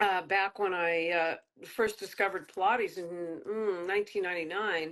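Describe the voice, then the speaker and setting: A woman with a normal speaking voice talks at a moderate pace. Her pitch is medium and her intonation fairly even. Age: 60s. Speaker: fitness trainer and author. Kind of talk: interview.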